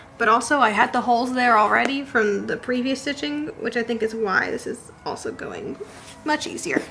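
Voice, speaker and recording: A woman's high-pitched voice with lively intonation, a moderate pace, and noticeable background noise. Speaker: historical sewing vlogger. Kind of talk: casual tutorial vlog.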